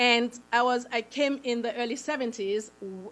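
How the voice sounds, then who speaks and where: In a very clean recording against a silent background, a woman with a Haitian accent speaks at a fairly high pitch with ordinary pitch variation. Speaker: nonprofit founder. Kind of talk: public presentation.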